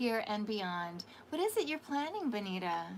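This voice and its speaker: Noticeable background noise accompanies the speaker. She is a woman with a fairly high pitch. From Canada. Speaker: tarot card reader. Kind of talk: livestream tarot reading. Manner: animated.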